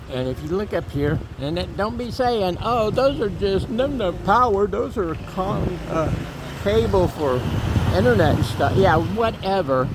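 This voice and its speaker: Someone with an American accent speaks fairly slowly, pitch swinging very widely, amid noticeable background noise and audible room echo. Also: man, high pitch for a man. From Florida, US. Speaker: vlogger. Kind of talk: casual walking vlog narration. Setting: outdoors, walking in neighborhood. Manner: conversational, with fillers.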